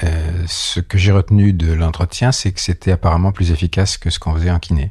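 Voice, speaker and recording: Very deep and low, a man's voice has a dark, mellow tone and a somewhat breathy quality. He speaks at a fairly quick pace with fairly even intonation. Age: 70s. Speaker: osteopath. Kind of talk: interview.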